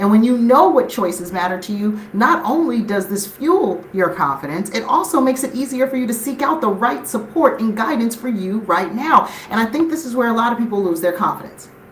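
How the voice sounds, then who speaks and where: Animated and fairly quick, a woman with a fairly high voice talks with hardly any pauses and very wide pitch swings over noticeable background noise. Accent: American. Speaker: life and business coach. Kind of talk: live stream motivational talk. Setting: live stream. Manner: fast.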